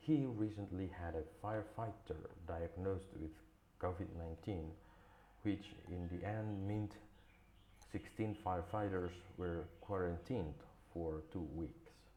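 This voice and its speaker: With noticeable background noise behind him, a man speaks at a fairly slow pace in a very deep, low voice with ordinary pitch variation. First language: not English. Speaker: English learner. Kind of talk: news article read aloud.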